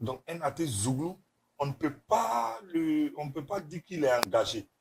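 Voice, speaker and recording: Somewhat breathy and fairly high-pitched, a man speaks at a fairly slow pace. His intonation is lively. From Ivory Coast. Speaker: zouglou singer. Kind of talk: interview.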